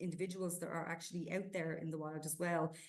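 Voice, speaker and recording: A woman talks with an Irish accent at a fairly low pitch. Audible room echo surrounds her voice. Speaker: zoo conservation coordinator. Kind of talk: podcast interview. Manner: hesitant, many fillers.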